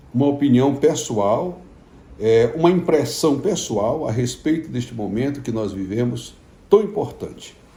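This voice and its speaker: With audible room echo, a man speaks at a fairly slow pace in a somewhat breathy, dark and mellow voice, his pitch fairly high and his intonation lively. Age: 60s. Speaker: pastor. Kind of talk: informal video message to followers. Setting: at home.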